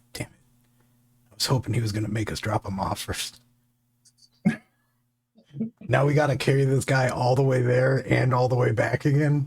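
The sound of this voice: A man whispering in a raspy, put-on character voice at a moderate pace, with long, frequent pauses.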